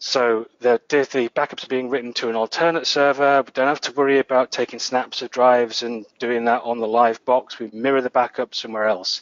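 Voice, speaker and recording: With a northern English accent, a man talks at a fairly quick pace. He leaves hardly any pauses. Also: medium pitch for a man. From northern England. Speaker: database administrator, conference speaker. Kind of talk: tech conference talk. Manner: animated.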